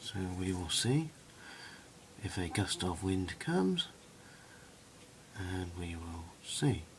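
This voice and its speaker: A soft-spoken man talks very slowly, with long, frequent pauses. His very deep, low voice shows ordinary pitch variation. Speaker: hobbyist video maker. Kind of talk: tutorial. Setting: indoors at home at night.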